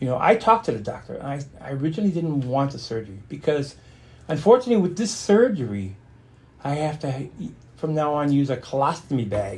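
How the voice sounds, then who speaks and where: The voice is somewhat breathy and swings very widely in pitch. It moves at a fairly quick pace. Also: man, fairly high pitch for a man. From born in Stuttgart, Germany, raised in a US Army family. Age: 60s. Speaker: interview guest, client and friend of host. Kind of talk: casual interview conversation. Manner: halting, with repetitions and fillers.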